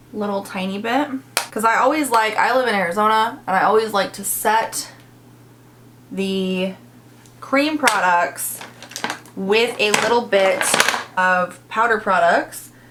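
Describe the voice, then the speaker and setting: A woman with a fairly high voice speaks fairly slowly, with long, frequent pauses. Her pitch varies in an ordinary way over noticeable background noise. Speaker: beauty youtuber. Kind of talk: makeup tutorial and review. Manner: animated; starts loud, voice fades while applying makeup.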